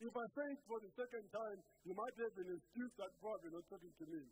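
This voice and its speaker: A man's high voice with lively intonation, moderate pace, light background noise. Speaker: preacher. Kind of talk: sermon. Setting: church. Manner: earnest, rhetorical preaching, pressing questions and commands to the congregation. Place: church. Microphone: handheld.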